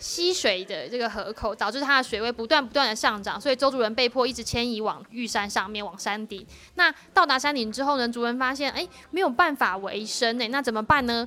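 The pace is fairly quick, with hardly any pauses. Pitch varies in an ordinary way. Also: woman, high pitch for a woman. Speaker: school teacher and administrator. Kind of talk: interview. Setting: on location at a school.

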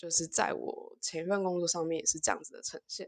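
A woman's fairly low voice in a monotone, flat intonation against a quiet background. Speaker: social worker. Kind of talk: casual chat. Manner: halting.

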